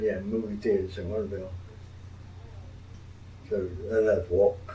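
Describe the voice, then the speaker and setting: This man has a dark, mellow, somewhat breathy voice with a fairly low pitch. He talks at a moderate pace in a flat monotone. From St. Martinville, Louisiana. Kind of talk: interview answer.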